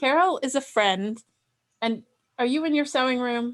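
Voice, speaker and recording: A woman's high-pitched voice at a moderate pace, with a Delaware accent and ordinary pitch variation. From Delaware, US. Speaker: sewing software instructor. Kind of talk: online class.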